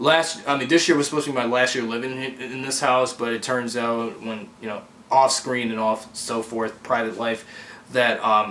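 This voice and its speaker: With a medium pitch and fairly even intonation, a man talks at a moderate pace amid noticeable background noise. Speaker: amateur fan filmmaker. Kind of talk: casual vlog update. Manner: halting.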